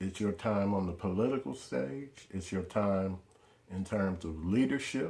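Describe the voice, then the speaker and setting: With ordinary pitch variation, the talking proceeds at a fairly slow pace. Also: man. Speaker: political video blogger. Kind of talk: monologue to camera. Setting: in front of a camera. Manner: animated, informal.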